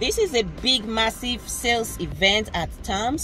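The speech moves at a fairly slow pace. The sound is dry with no echo, and faint music plays behind it. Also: woman. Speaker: vlogger. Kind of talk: casual vlog chat. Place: car. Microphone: phone near.

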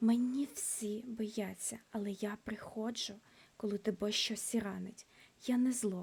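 Just an unforced reading voice

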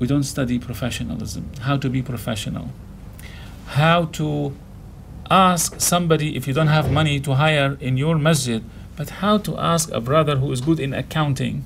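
Against light background noise, a man with a Syrian accent talks at a moderate pace with ordinary pitch variation. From Syria, Damascus. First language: Arabic. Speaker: imam. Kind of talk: interview. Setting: studio. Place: studio.

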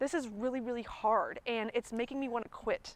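A woman speaks at a fairly quick pace, the sound dry with no echo. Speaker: nutrition coach. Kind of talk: coaching conversation. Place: garden. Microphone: lapel.

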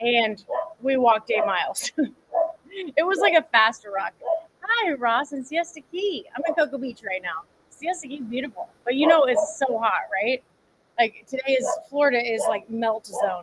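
Delivered at a moderate pace with very wide pitch swings and long, frequent pauses, the speech has light background noise behind it. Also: woman, high pitch for a woman. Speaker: fitness coach. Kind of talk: casual livestream chat. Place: garden. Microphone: phone near.

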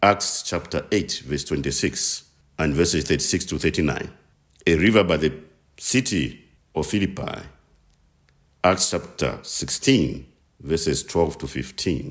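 A man's extremely low voice, fairly slow in pace, with ordinary pitch variation.

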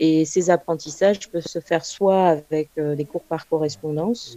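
A woman with a very deep, low pitch and a dark, mellow tone speaks with ordinary pitch variation in a dry, close sound with no echo. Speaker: parent speaking on home and alternative schooling. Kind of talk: online talk presentation. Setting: video call. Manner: halting, many fillers.

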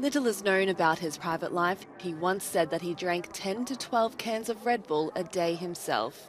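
Delivered at a moderate pace with hardly any pauses, the speech has lively intonation over noticeable background noise. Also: woman, medium pitch for a woman. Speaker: news anchor. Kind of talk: news reading.

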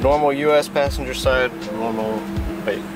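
The sound is dry with no echo. A man speaks while clear music plays in the background. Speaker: car enthusiast vlogger. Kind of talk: casual vlog talk to camera. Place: car. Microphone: phone near.

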